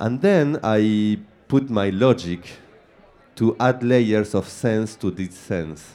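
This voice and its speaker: A man with an Argentine accent speaks very slowly in a dark, mellow tone. His pitch is fairly low, with ordinary variation. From Argentina. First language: Spanish. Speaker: film director. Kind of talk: panel Q&A. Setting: stage with audience. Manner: halting, searching for words.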